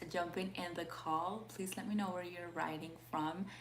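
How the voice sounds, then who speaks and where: A woman's fairly low-pitched voice with fairly even intonation and audible room echo. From Peru. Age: 20s. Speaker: life coach. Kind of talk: live stream talk. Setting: live video call. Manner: halting.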